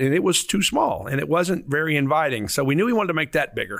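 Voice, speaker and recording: A man talks very fast with a Southern US accent. His pitch variation is ordinary. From Arkansas. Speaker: museum CEO. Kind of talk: interview. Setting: newspaper office.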